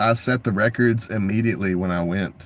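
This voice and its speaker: A man with a Texan accent at a fairly slow pace. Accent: Texan American. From Texas. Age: 40s. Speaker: video artist and livestreamer. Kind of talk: casual livestream monologue.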